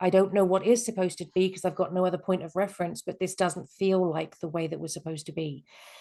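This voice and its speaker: A woman speaks at a very fast pace with hardly any pauses, in a dark, mellow tone at a medium pitch with fairly even intonation. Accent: English. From England. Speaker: life coach. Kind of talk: webinar presentation. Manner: hesitant, many fillers.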